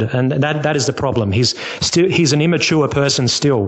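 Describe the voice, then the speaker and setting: With an Australian accent, a man talks at a fairly high pitch and a moderate pace with lively intonation. Audible room echo and noticeable background noise are present. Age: 30s. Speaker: caller. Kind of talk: casual chat. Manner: halting.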